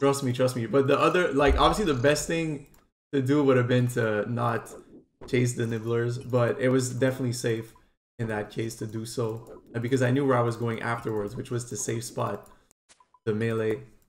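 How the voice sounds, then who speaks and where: A man with a Quebec accent speaks at medium pitch with fairly even intonation. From Quebec, Montreal. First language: French. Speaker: gaming streamer. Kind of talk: tutorial. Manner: casual, fast gameplay commentary.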